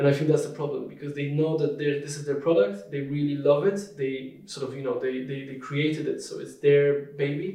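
Audible room echo surrounds a man with a Polish accent who speaks at a moderate pace in a fairly high pitch, his intonation fairly even. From southern Poland (Krakow). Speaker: marketing director. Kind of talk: interview.

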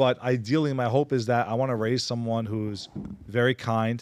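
A man with a normal speaking voice and medium pitch talks at a moderate pace. His intonation is fairly even. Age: 30s. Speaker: podcast host. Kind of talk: casual chat.

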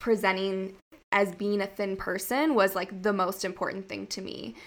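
A woman with a normal speaking voice talks at a medium pitch and moderate pace on a very clean recording with a silent background. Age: 20s. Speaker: wellness content creator. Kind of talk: casual interview.

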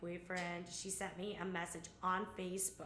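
Someone speaks at a moderate pace with an American accent over noticeable background noise. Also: woman. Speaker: guest. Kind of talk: casual chat.

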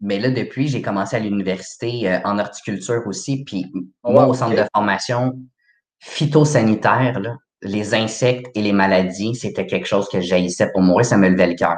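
A man with a plain, everyday voice speaks at a moderate pace, his pitch fairly low with ordinary variation. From Quebec, Laval. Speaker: horticulture graduate. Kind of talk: casual interview.

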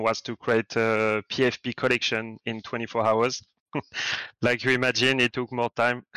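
In a French accent, a man speaks very slowly at a medium pitch with monotone, flat intonation and a bright, sharp tone, the sound dry and close with no echo against a quiet background. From France. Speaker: NFT project art director. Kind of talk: community AMA on Discord. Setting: Discord voice chat. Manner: halting.

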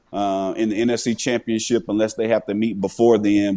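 A man's fairly low, dark, mellow voice at a moderate pace, with monotone, flat intonation and a Southern US accent. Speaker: retired NFL player. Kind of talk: casual interview chat. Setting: farm, snowy outdoors.

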